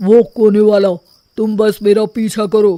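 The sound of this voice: In a cartoonish character voice, a man speaks at a high pitch and a fairly slow pace with monotone, flat intonation.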